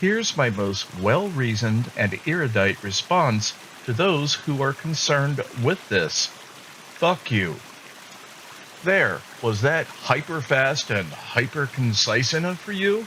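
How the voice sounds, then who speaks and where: Very slow and with very wide pitch swings, a man talks at a fairly high pitch. Noticeable background noise runs under the recording. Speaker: podcast host. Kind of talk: monologue. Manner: deliberate.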